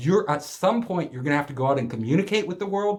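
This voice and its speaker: Very wide pitch swings in a male speaker's fairly high, somewhat breathy voice. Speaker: public speaking coach, startup accelerator CEO. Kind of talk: lecture.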